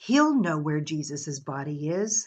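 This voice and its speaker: A woman puts on a character voice with a very deep, low pitch. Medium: read story.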